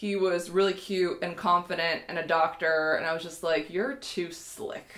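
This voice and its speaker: At a moderate pace, a woman with an unremarkable speaking voice talks at a fairly low pitch, her intonation fairly even. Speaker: vlogger. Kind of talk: casual vlog chat. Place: home room.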